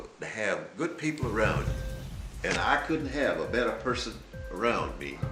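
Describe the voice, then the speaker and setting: A man at a moderate pace, music playing in the background. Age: 70s. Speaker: author and businessman. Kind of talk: interview answer.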